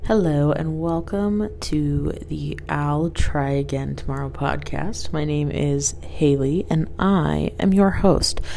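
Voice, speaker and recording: A woman's very slow speech with hardly any pauses, against noticeable background noise. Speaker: podcast host. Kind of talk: casual chat, rambling podcast. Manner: animated, laughs often.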